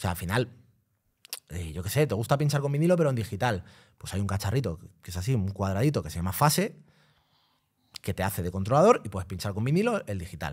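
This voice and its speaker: A somewhat breathy man at a fairly low pitch, with lively intonation, a very fast pace and long, frequent pauses. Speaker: DJ. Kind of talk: casual chat. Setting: studio.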